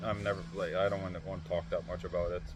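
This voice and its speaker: A man speaks in a very deep, low, somewhat breathy voice with ordinary pitch variation. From Norway. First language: Norwegian. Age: 30s. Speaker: vlogger. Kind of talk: casual chat. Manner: halting, many fillers and repeated words.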